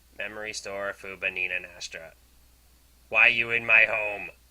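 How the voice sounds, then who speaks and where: Speaking at a moderate pace, a man puts on a raspy character voice. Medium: game stream.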